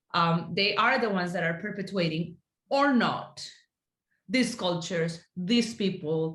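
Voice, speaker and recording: Speaking fairly slowly with a Spanish accent, a woman shows ordinary pitch variation, and room echo is audible. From Colombia. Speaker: Spanish teacher. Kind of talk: casual discussion.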